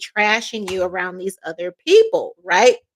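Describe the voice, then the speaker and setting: A woman speaks in a plain, everyday voice at a fairly high pitch and a moderate pace. The sound is dry and close, with no echo. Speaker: tarot reader. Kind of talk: tarot reading.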